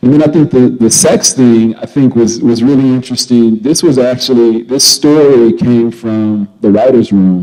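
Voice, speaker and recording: A man with an ordinary speaking voice talks at a medium pitch and a moderate pace. There is ordinary pitch variation and hardly any pauses. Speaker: actor. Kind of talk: interview answer. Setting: festival couch interview. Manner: casual, conversational.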